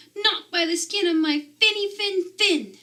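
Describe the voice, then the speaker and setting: A woman puts on a squeaky character voice at an extremely high pitch. She keeps a moderate pace. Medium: read story.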